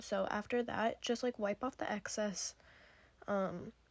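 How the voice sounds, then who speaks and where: A woman with a fairly high pitch speaks in a flat monotone. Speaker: beauty vlogger. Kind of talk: tutorial. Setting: at home.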